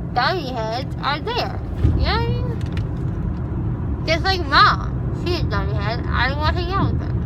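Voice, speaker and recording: Loud background noise fills the recording. Over it, a woman talks at a moderate pace. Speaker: vlogger. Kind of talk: casual vlog chat. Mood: animated, complaining, joking. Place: car. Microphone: phone near.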